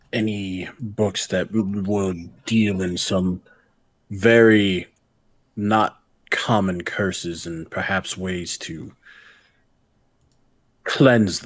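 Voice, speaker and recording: Using a put-on character voice, a man mumbles at a very slow pace with long, frequent pauses. His pitch is fairly low, his intonation fairly even, and his loudness swings widely. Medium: actual play. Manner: hesitant, mumbling.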